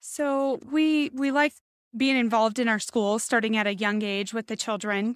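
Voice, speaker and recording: In a plain, everyday voice, a woman talks at a fairly slow pace with a fairly high pitch and an American accent. Her intonation is fairly even, and the recording is very clean over a silent background. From Nevada, Las Vegas area. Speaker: credit union representative and chamber board member. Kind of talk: interview.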